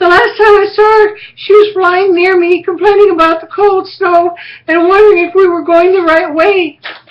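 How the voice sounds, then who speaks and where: This is a put-on character voice at an extremely high pitch. It goes at a moderate pace. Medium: read story.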